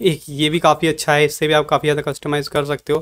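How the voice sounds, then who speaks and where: A man speaks at a moderate pace. His pitch sits fairly high. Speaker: tech youtuber. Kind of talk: tutorial. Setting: home pc setup. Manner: casual, informal. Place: home room.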